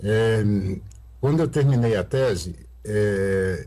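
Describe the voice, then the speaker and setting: There is audible room echo around a man whose fairly low, somewhat breathy voice has a dark, mellow tone and ordinary pitch variation. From Brazil, Sete Lagoas (Minas Gerais). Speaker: astrophysicist. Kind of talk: interview. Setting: video call. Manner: halting, many fillers.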